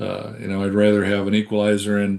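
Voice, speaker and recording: Over a quiet background, a man with a fairly low voice speaks at a moderate pace. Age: 60s. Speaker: retired police officer, self-defense expert. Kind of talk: podcast interview. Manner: halting, many fillers.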